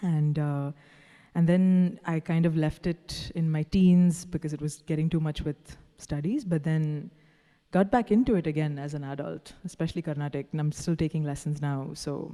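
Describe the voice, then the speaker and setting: A woman speaks at a moderate pace with a Tamil accent, her pitch very deep and low. The tone is dark and mellow, and the recording is very clean with a silent background. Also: fairly even intonation. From Dubai, Indian family from Kerala. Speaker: singer-songwriter. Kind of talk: interview.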